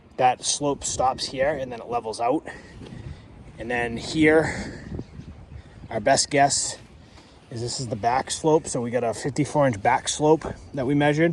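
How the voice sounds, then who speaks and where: The man's pitch is medium and his intonation fairly even. He leaves long, frequent pauses. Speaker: pool service business owner. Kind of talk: on-site tutorial. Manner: fast; casual, filler-heavy.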